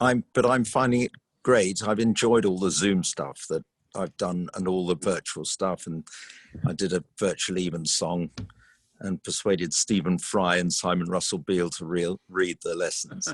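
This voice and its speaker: The recording is very clean, with a silent background. A man speaks at a moderate pace with a very deep, low pitch. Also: ordinary pitch variation. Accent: southern English. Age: 70s. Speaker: choral conductor. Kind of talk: casual interview.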